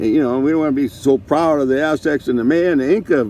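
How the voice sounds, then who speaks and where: A man speaks with a fairly high pitch. Noticeable background noise can be heard. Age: 70s. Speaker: vlogger with ALS. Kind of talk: casual monologue. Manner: halting.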